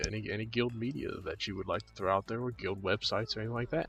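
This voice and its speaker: With music in the background, a man speaks very fast at a medium pitch with ordinary pitch variation. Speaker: gaming show host. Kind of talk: casual interview.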